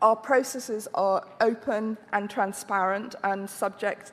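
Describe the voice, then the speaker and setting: A monotone, flat delivery in a British accent. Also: woman. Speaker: health agency director. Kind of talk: conference presentation. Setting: conference with audience and translation. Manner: slow; halting.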